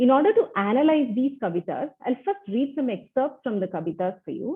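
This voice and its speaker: A woman with an Indian accent talks at a moderate pace, her pitch swinging very widely. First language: Tulu. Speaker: academic researcher. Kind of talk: conference presentation. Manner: formal.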